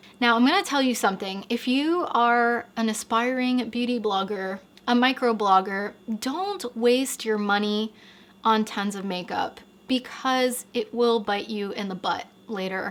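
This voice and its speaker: A woman speaks in a plain, everyday voice that is fairly high-pitched and shows ordinary pitch variation. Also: fairly slow pace. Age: 30s. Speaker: beauty YouTuber. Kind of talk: confessional vlog monologue. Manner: candid, emotional.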